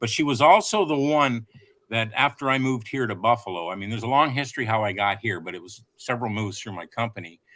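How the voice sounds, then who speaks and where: This man's tone is bright and sharp. He speaks at a very fast pace with ordinary pitch variation. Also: medium pitch for a man. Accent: Canadian. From Ontario, Canada (Oakville). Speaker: motorcycle rider, guest. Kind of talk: casual chat. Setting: live stream.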